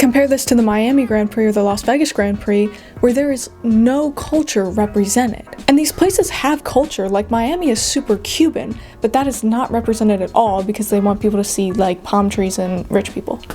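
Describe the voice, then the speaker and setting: Over music in the background, a woman with an American accent speaks at a fairly quick pace in a fairly high pitch with ordinary pitch variation. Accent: slight Philadelphia accent, toned down. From US, Philadelphia area. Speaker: YouTuber, Formula 1 commentator. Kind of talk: casual opinion video essay.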